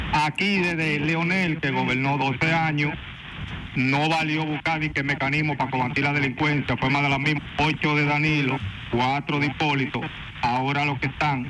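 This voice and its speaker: A man speaks at a moderate pace with a fairly high pitch. His loudness stays very even, and there is noticeable background noise. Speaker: caller. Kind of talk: call-in opinion. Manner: animated.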